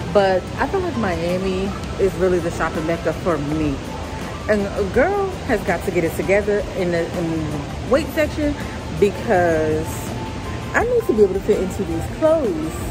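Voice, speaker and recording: Clear music plays behind a woman who speaks at a moderate pace with long, frequent pauses. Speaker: fashion vlogger. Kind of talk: casual vlog chat. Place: street. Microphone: phone near.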